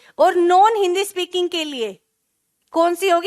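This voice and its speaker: The sound is dry and close with no echo as a woman speaks, her pitch varying in an ordinary way. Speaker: teacher. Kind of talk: online class lecture. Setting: live online class.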